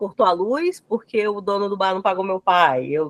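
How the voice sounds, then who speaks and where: This is a woman with a medium pitch. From Mato Grosso, Brazil (Araguaia region). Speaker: project manager and lecturer. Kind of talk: online lecture.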